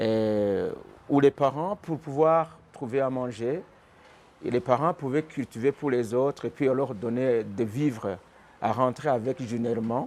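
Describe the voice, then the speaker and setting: Speech comes at a fairly slow pace, its pitch varying in an ordinary way. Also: man, medium pitch for a man. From Burundi (born in Rwanda). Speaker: pastor. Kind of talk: testimony. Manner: halting.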